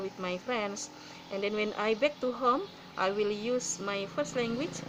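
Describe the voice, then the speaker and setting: A woman with a fairly high pitch talks at a moderate pace while noticeable background noise continues. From Indonesia, South Sulawesi (Bugis). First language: Buginese. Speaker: graduate student presenter. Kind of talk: class presentation. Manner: halting, many fillers.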